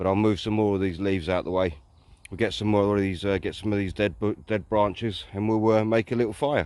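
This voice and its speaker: Fairly quick speech with a southern English accent and fairly even intonation. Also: man, fairly low pitch for a man. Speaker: hiking vlogger. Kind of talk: casual vlog narration. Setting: outdoors in woodland.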